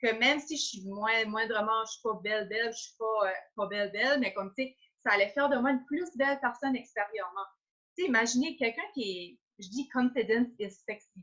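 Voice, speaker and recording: Talking at a fairly quick pace with an Acadian accent, a woman uses a fairly high, bright, sharp voice with ordinary pitch variation. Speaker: entrepreneur. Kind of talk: interview. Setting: Facebook live video call.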